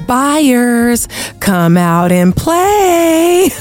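A female-sounding put-on character voice sits high in pitch with very wide swings. Music plays clearly in the background. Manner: eerie, taunting, sing-song.

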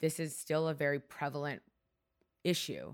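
A woman with a Canadian accent at a moderate pace, on a very clean recording with a silent background. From Markham, Ontario, Canada. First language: Hungarian. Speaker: publicist and wellness brand founder. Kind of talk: casual interview conversation. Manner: animated, expressive.

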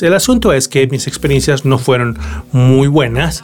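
A man with a fairly high voice keeps a moderate pace while noticeable background noise sounds behind him. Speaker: tech podcast host. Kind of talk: solo podcast monologue.

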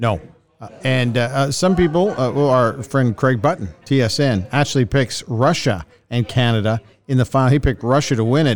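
With very even loudness, a man talks at medium pitch with ordinary pitch variation. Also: moderate pace. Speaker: podcast host. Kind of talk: casual tired end-of-day recap chat between co-hosts, not play-by-play. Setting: on the road at a tournament. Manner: tired, weary, conversational.

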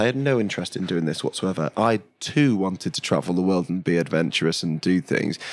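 A man with a Yorkshire accent and a very deep, low pitch talks at a very fast pace with lively intonation. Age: 30s. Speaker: chef. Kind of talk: casual interview.

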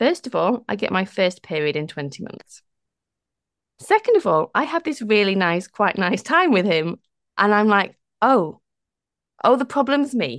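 A woman's medium-pitched voice with a slight northern English accent, at a moderate pace, with very wide pitch swings and long, frequent pauses. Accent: northern English, on the softer side. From northern England. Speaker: coach, former lawyer. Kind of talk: casual interview conversation.

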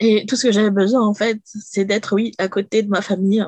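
At a moderate pace, a woman speaks with a medium pitch and flat, monotone intonation in a dry, close sound with no echo. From France. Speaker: domestic violence survivor. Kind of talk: testimony.

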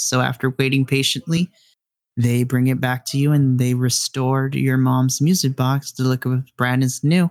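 In a very clean recording with a silent background, the voice has a warm tone and a moderate pace. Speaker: game master storyteller. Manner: vivid, atmospheric, descriptive storytelling; warm and chatty, addresses players directly.

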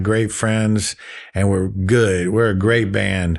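In a quiet background, a man with a Southern US accent talks at a very slow pace with fairly even intonation. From Florida Panhandle (Gulf Breeze, Pensacola). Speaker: musician and novelist. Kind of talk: casual interview. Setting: studio.

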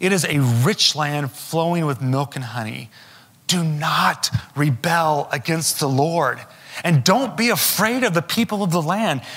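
Fairly slow delivery and lively intonation against noticeable background noise. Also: man, fairly high pitch for a man. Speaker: pastor. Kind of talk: sermon. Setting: church.

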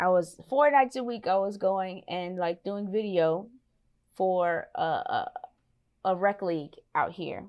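A woman with a normal speaking voice talks at a fairly slow pace, using a medium pitch and ordinary pitch variation. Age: 30s. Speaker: teacher and videographer. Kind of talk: casual interview.

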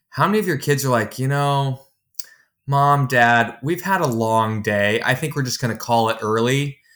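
A normal speaking voice at a moderate pace with ordinary pitch variation, captured in a very clean recording against a silent background. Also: man. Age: 30s. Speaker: software executive and contractor business owner. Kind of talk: casual interview.

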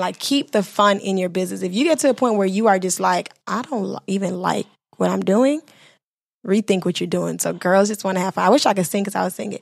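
A woman speaks with an American accent at a fairly quick pace. She has an unremarkable speaking voice. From Miami, Florida (Bahamian-Haitian family). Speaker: entrepreneur, business owner. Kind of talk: casual interview chat.

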